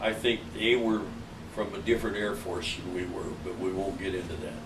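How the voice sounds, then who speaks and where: There is noticeable background noise as a man speaks at fairly low pitch with fairly even intonation. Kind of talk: interview answer. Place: home room.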